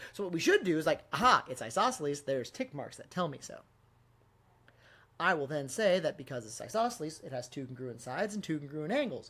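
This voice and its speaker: At a very fast pace, a man with a fairly high pitch and bright, sharp tone makes very wide pitch swings and big swings in loudness. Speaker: math teacher. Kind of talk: tutorial. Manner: casual, conversational.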